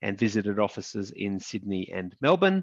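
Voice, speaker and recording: A man speaks with an Australian accent. His pace is fairly slow, over a quiet background. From Australia, regional Queensland. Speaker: lawyer, law firm founder. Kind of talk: panel discussion.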